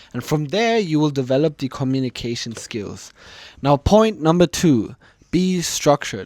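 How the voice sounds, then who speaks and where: In a very clean recording with a silent background and a dry, close sound with no echo, a man with a German accent speaks at a moderate pace with a fairly high pitch and lively intonation. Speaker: communication coach, YouTuber. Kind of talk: tutorial.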